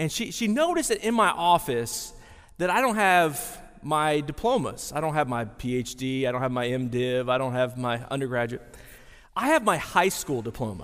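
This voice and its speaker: With lively intonation and a Texan accent, a man talks at a moderate pace amid audible room echo. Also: fairly high pitch for a man. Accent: Texan Southern US. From East Texas, rural. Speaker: pastor. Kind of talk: sermon. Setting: chapel with audience.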